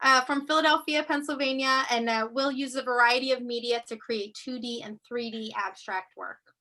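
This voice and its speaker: Using a raised, projected voice, a woman speaks at a moderate pace in a high pitch with a bright, sharp tone. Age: 50s. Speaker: arts council deputy director, moderator. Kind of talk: virtual reception hosting. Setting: video call.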